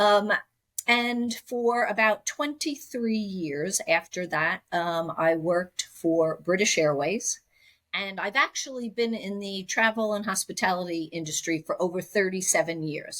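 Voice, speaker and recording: A woman speaks at a medium pitch with lively intonation and a fairly slow pace. The recording is very clean, with a silent background. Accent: New York. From US Northeast, Long Island, New York. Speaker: technology executive. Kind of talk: podcast interview.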